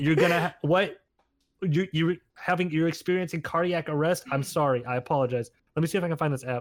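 Fairly quick male speech, fairly high in pitch, its pitch variation ordinary. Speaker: content creator. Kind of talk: casual chat. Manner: self-conscious about own voice.

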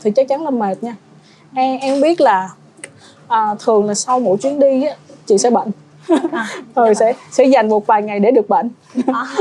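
A woman with a fairly high pitch and ordinary pitch variation talks at a fairly quick pace, leaving long, frequent pauses. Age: 30s. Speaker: travel blogger. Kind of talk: casual chat.

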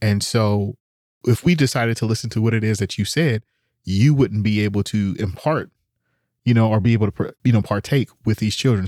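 A man with an American accent talks at a fairly quick pace in a normal speaking voice, fairly low in pitch with ordinary variation, in a very clean recording with a silent background and a dry, close sound with no echo. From US, Oakland, California. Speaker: podcast host. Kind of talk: casual chat.

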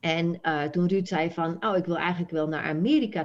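A woman with a slight Frisian accent, fairly low in pitch, with ordinary pitch variation and a fairly quick pace, over a quiet background. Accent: very slight Frisian melody. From Friesland, Netherlands. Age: 60s. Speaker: Dutch language teacher. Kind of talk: interview.

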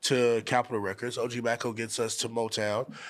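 This man has a plain, everyday voice of medium pitch and talks at a fairly quick pace. The recording is very clean with a silent background. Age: 20s. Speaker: rapper. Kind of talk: casual chat. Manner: casual, profane.

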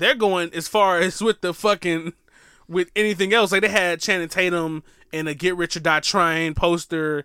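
A high-pitched man with a bright, sharp tone and fairly even intonation, at a moderate pace, in a very clean recording with a silent background and a dry, close sound with no echo. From US South. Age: 20s. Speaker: podcast co-host. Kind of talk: casual chat.

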